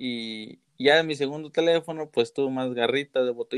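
A man talks in a dry, close sound with no echo. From southern Zacatecas, Mexico. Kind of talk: casual chat. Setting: remote call.

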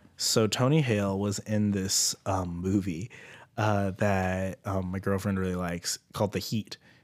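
Very clean recording, silent background. A man with a plain, everyday voice speaks at a fairly slow pace with fairly even intonation. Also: fairly low pitch for a man. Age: 20s. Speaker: podcast co-host. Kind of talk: casual chat.

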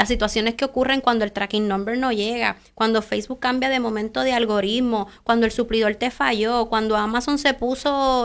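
At a moderate pace and with hardly any pauses, a woman speaks in an ordinary speaking voice, fairly high in pitch and very even in loudness. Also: very clean recording, silent background. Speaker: entrepreneur and author. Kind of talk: interview. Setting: live stream.

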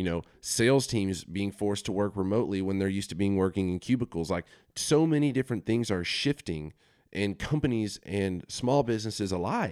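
A normal speaking voice moves at a fairly quick pace with lively intonation on a very clean recording with a silent background. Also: man. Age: 20s. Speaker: podcast host. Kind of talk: solo monologue podcast. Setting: home office studio. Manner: casual, conversational.

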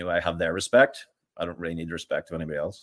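A man with a Northern Irish accent and a very deep, low pitch. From Northern Ireland, County Armagh. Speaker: fitness coach. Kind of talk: casual chat.

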